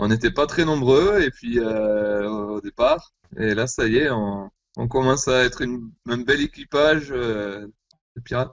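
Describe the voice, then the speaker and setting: Pitched at a medium level, a man talks at a fairly slow pace with ordinary pitch variation. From southwest France. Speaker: rock band musician. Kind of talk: interview.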